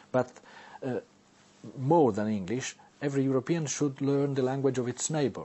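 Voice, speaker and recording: With an Italian accent, a man talks at a moderate pace. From Italy. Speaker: novelist and newspaper columnist, language inventor. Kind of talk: interview. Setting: studio. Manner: halting.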